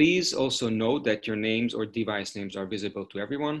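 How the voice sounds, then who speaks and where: The speaker is a man with a moderate pace. Ordinary variation marks his pitch. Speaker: webinar host. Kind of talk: webinar housekeeping announcement. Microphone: video call.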